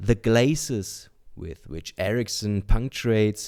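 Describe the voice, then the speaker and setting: Over a silent background on a very clean recording, a man with a dark, mellow tone speaks with lively intonation. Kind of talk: book reading.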